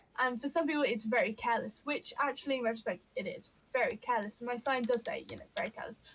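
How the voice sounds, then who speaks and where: This woman talks very fast and loud in a Yorkshire accent. Her high voice carries lively intonation. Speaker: witchcraft and astrology streamer. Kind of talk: casual chat. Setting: live stream.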